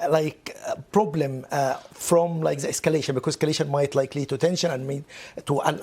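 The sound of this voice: A man speaks with a dark, mellow tone. There is a slightly husky edge to it.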